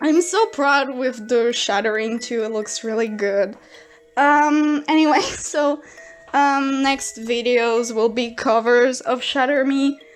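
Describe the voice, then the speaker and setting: Music plays in the background as a woman speaks with a French accent at a very slow pace. Her pitch is high, with ordinary variation. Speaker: artist youtuber. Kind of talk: speedpaint commentary. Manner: halting.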